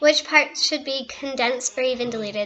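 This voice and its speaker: Her voice sits high for a woman, with fairly even intonation. Noticeable background noise runs under the woman's speech. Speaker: author. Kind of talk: casual talk to camera.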